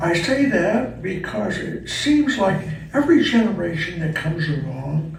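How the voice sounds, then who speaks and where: The delivery has lively intonation and a fairly slow pace. Audible room echo and noticeable background noise surround it. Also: man. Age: 80s+. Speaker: retirement community resident essayist. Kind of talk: reading aloud of personal essay.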